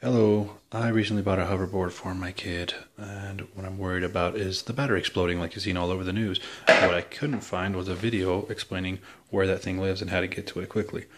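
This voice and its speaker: Very fast and quiet, a man talks at a very deep, low pitch with fairly even intonation. Noticeable background noise is present. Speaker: parent doing a product how-to. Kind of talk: casual tutorial. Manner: quiet, keeping voice down; hesitant, many fillers.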